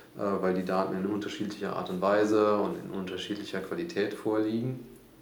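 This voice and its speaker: Noticeable background noise and audible room echo surround a man talking at a fairly quick pace in a fairly low voice. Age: 30s. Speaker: startup founder. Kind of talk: interview.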